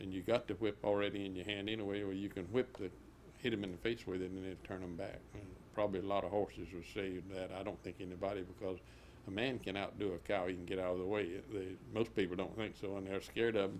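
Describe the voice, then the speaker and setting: A very fast, monotone delivery with flat intonation, in an American accent. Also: man, fairly low pitch for a man. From US South, central Florida. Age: 70s. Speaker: cattle rancher. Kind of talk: oral history interview. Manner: halting.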